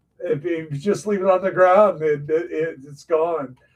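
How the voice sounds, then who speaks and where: This man talks in a high pitch. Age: 60s. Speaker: gaming streamer. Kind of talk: live gameplay stream chat. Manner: casual, halting with fillers.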